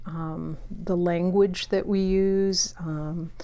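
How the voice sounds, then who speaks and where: Amid audible room echo, a woman with a fairly low pitch speaks at a very slow pace in monotone, flat intonation. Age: 60s. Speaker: booktuber. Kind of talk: casual vlog talk. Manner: hesitant, many fillers.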